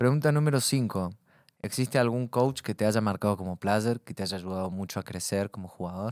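A man talks at a fairly quick pace and a fairly low pitch, with ordinary pitch variation. The sound is dry with no echo, over a quiet background. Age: 20s. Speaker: podcast host. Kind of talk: casual interview. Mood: relaxed, joking. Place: studio. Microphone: studio mic.

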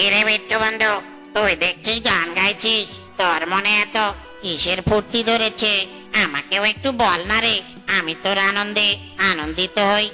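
Over clear background music, a cartoonish character voice speaks at a moderate pace and a fairly high pitch. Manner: excitable, folksy.

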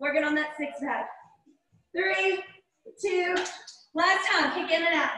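A woman with an American accent speaks in a raised, projected voice at an extremely high pitch, with lively intonation, a fairly slow pace and long, frequent pauses. Audible room echo and light background noise come through. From US South. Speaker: fitness instructor. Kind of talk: live online group fitness class, coaching with timed cues. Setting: video call, live streamed workout at home. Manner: warm, chatty, and laughs often. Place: home room. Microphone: camera far.

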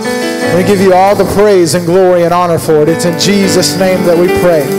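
Over clear music in the background, the speaker talks at a fairly quick pace with ordinary pitch variation. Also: man. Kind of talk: welcome and spoken prayer. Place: church. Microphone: handheld.

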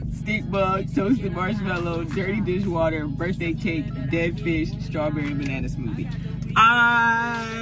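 Loud music plays behind a woman speaking at a fairly slow pace with ordinary pitch variation. The sound is dry, with no echo. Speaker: vlogger. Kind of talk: casual vlog chat. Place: car.

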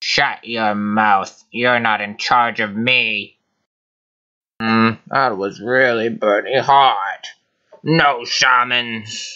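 Using a put-on character voice at medium pitch, a man speaks at a very slow pace. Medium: audio drama. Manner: gruff, scoffing, irritable.

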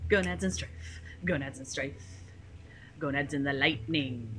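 Very wide pitch swings mark a woman's voice over noticeable background noise. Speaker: gamer. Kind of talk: casual banter.

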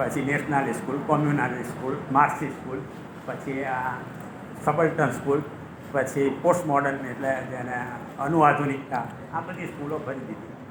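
Speaking at a fairly high pitch, a man is heard with audible room echo and noticeable background noise. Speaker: retired history professor. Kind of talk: lecture. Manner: animated.

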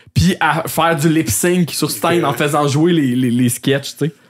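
With music in the background, a man talks at a moderate pace in a fairly high pitch and ordinary pitch variation. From Quebec, L'Assomption. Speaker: podcast host. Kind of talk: casual chat.

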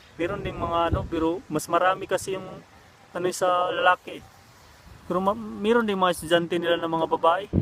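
Noticeable background noise sits behind a man speaking at a fairly quick pace, his pitch high with ordinary variation. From Visayas or Mindanao, Philippines. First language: Cebuano (Bisaya) (speaking Tagalog). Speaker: vlogger, overseas worker. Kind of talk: casual vlog talk. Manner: halting, with many fillers.

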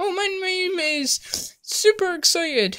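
An extremely high, cartoonish character voice at a fairly slow pace. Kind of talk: game show announcing. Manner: excited, upbeat, announcing.

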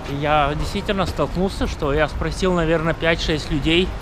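Over music in the background, the speaker keeps a moderate pace with ordinary pitch variation. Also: man. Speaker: travel vlogger. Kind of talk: casual vlog chat. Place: street. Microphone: phone near.

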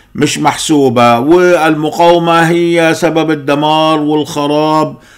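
Speaking at a very slow pace, a man with a fairly high pitch talks against a quiet background. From Egypt. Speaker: political commentator. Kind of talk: political monologue. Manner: animated. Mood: angry, critical. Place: home room.

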